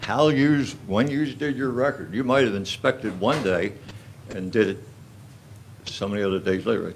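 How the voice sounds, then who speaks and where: Audible room echo surrounds a man speaking at a moderate pace in a medium pitch, with ordinary pitch variation and long, frequent pauses. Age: 80s+. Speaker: resident speaking at public comment. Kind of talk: public comment at borough council meeting. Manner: halting, repetitive.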